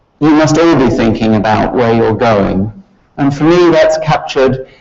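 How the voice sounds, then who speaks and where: The speaker is a man. He shows ordinary pitch variation. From Scotland. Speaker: university professor. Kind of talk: lecture.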